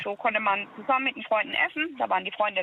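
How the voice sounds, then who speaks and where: Against noticeable background noise, a woman with a fairly high pitch talks at a very fast pace with ordinary pitch variation. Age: 30s. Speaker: caller. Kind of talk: phone-in conversation. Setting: phone call.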